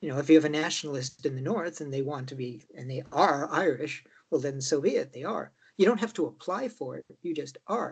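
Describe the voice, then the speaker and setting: A man talks at a fairly quick pace, fairly high in pitch and somewhat breathy. His intonation is lively, and his loudness swings a lot. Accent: American. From Chicago, US, with years in Mayo, Ireland. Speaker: political party member. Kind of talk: casual interview.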